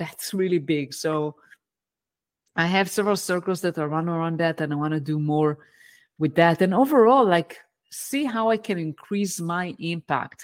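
The recording is very clean, with a silent background. A woman with an Israeli accent talks at a moderate pace, her fairly low pitch showing ordinary variation. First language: Hebrew. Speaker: engineering management coach. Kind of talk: interview.

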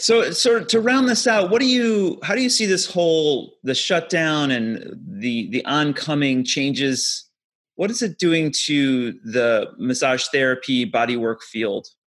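A voice with an American accent moves at a fairly slow pace with hardly any pauses and very wide pitch swings. The background is quiet. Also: man, fairly high pitch for a man. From Ohio. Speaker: podcast host and massage therapist. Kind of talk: casual interview.

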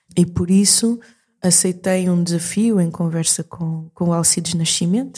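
A woman with a European Portuguese accent, fairly low pitch, a dark, mellow, somewhat breathy tone, fairly even intonation and a fairly slow pace. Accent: European Portuguese-like. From Portugal, moved from Mozambique at age 6. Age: 40s. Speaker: singer and performer. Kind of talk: interview conversation. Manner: halting, many repetitions and fillers.

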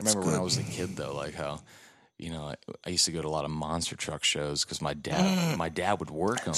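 A man with a Texan accent talks at a fairly quick pace. His very deep, low voice shows ordinary pitch variation. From Texas. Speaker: podcast guest, music touring crew member.

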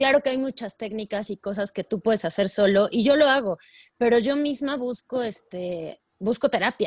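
Against a quiet background, with a dry, close sound and no echo, a woman in an ordinary speaking voice talks at a moderate pace and fairly high pitch, her intonation lively. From Mexico, Puebla. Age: 30s. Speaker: life coach. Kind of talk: interview.

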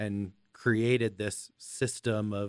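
An ordinary speaking voice comes from a man with an American accent, pitched fairly low. His intonation stays fairly even, and the sound is dry and close with no echo. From US, Los Angeles. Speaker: podcast host. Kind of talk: casual interview chat.

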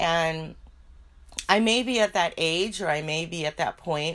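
A woman with an American accent speaks at a fairly low pitch with ordinary pitch variation on a very clean recording with a silent background. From southern California. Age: 40s. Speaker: podcast host. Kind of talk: casual solo monologue. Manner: hesitant with fillers.

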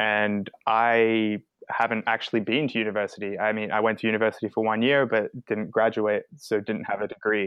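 A man's fairly low voice at a moderate pace. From Australia, raised across Asia and elsewhere. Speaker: software developer. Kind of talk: interview.

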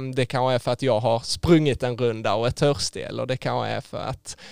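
The recording is very clean, with a silent background and a dry, close sound free of echo. A man speaks fairly quickly. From southern Sweden (Skåne), rural. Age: 20s. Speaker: engineering student. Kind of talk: faith testimony interview. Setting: studio.

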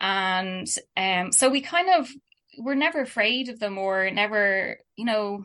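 A woman in a Dublin accent, bright and sharp in tone, at medium pitch with ordinary pitch variation. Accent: Dublin Irish. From Ireland, Dublin. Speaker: artist and illustrator. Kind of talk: casual interview.

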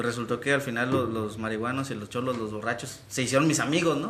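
A man talks very fast, with audible room echo and noticeable background noise around him. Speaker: internet radio show host. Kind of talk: casual chat.

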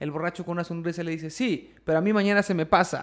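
A man's very fast, high-pitched speech in a Mexican accent, with fairly even intonation. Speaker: podcast host. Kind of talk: casual chat, joke telling. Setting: livestream on Twitch.

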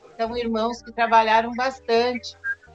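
A woman talks at a fairly slow pace and fairly high pitch while noticeable background noise carries on. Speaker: spiritist center volunteer. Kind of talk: interview.

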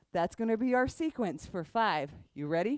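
A woman's upbeat, playful tone with very wide pitch swings. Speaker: yoga instructor. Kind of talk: guided yoga class cueing poses and breath. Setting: online class recording. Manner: brisk, rhythmic instructional cueing of movement sequences; upbeat, encouraging and casually playful.

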